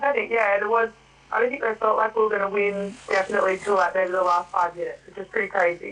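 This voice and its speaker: With music in the background, a woman with an Australian accent speaks at a very fast pace, her intonation fairly even. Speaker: rugby league player. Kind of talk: radio interview.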